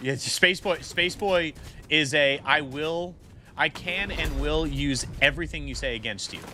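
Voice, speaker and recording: An American accent from a man with a fairly high pitch and ordinary pitch variation, music in the background. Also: fairly slow pace. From Michigan. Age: 30s. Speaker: gaming streamer and pastor. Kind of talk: live stream casual chat. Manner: halting.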